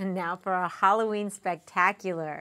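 Against a quiet background, a woman sounds upbeat, her tone bright and sharp. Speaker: community TV news host and interviewer. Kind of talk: news reading and interview. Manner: upbeat and chatty. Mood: cheerful, upbeat. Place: studio.

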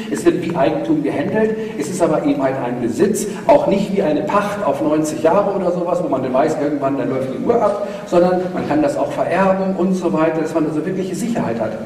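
With lively intonation and a high pitch, a man talks at a fairly quick pace amid audible room echo and light background noise. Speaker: economics lecturer and speaker. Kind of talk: lecture. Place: hall.

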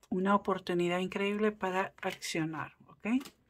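A woman speaks at a fairly slow pace with an animated tone and a medium pitch, on a very clean recording with a silent background. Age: 40s. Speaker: tarot reader. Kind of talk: casual chat; tarot reading.

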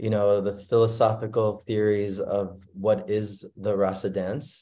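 A man's dark, mellow tone at a fairly slow pace, quiet background. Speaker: speaker. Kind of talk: sermon. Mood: warm, devotional. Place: home room. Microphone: video call.

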